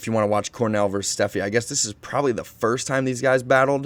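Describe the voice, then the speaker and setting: With fairly even intonation, a man keeps up a fairly quick pace. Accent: American. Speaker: unicycling video host and competitive rider. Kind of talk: casual video commentary. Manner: casual, with hesitations.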